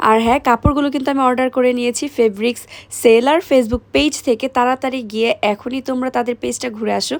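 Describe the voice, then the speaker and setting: Pitched high, a woman speaks with fairly even intonation in a dry, close sound with no echo. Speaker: lifestyle vlogger. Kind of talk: casual vlog; sales pitch.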